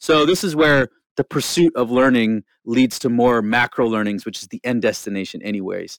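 In a Canadian accent, a man speaks with an unremarkable speaking voice at a medium pitch and ordinary pitch variation, recorded very cleanly, dry and close with no echo and a silent background. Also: moderate pace. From rural Alberta, Canada. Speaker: nonprofit marketing lead. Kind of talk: interview. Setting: studio.

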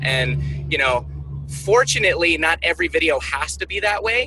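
Noticeable background noise is audible. A man talks at a moderate pace through it. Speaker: university gift officer. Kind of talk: casual chat.

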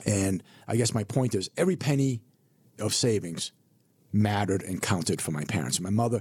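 A man talks in an ordinary speaking voice with an American accent. His pace is moderate and his intonation lively. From US Northeast (Burlington, Massachusetts). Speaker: financial advisor. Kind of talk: radio interview.

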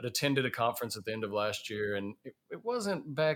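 Recorded very cleanly against a silent background, a man with a Southern US accent speaks at a fairly quick pace and a medium pitch. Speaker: podcast host, safety professional. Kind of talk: casual podcast conversation.

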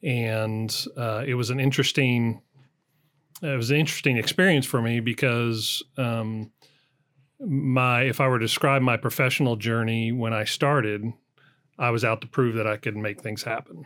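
A man's normal speaking voice, medium in pitch with fairly even intonation and a moderate pace, on a very clean recording with a silent background. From US, southern Colorado. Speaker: business executive. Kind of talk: interview.

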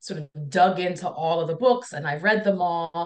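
Ordinary pitch variation shapes a woman's unremarkable speaking voice, set at a medium pitch. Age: 40s. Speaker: counselor and speaker on impostor feelings. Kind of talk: casual interview conversation.

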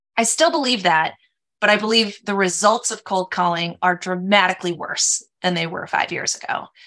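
A woman with an American accent speaks at a moderate pace and medium pitch, her bright, sharp tone showing ordinary pitch variation on a very clean recording with a silent background. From Minnesota. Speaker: sales executive. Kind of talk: interview. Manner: animated, talks with hands.

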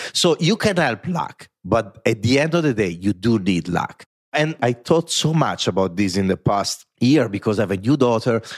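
A man with an Italian accent, medium pitch and very wide pitch swings, at a moderate pace with hardly any pauses, in a dry, close sound with no echo. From Italy. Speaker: corporate design executive and author. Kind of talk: podcast interview.

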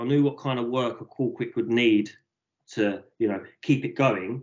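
This is a plain, everyday voice from a man at a medium pitch. He talks at a moderate pace. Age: 30s. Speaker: print shop owner. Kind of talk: interview.

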